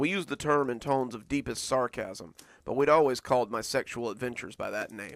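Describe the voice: This is plain reading aloud with fairly even intonation throughout.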